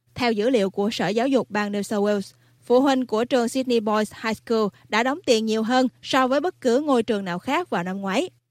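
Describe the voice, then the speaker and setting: In a plain, everyday voice, a woman with a fairly high pitch and ordinary pitch variation speaks at a moderate pace, recorded very cleanly against a silent background with a dry, close sound and no echo. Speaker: news presenter. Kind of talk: news reading.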